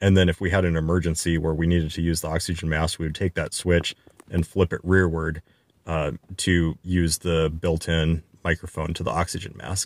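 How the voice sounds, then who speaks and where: Very deep and low in pitch, a man talks at a moderate pace in a monotone, flat intonation, the sound dry with no echo. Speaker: pilot instructor. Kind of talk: tutorial. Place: plane. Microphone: phone near.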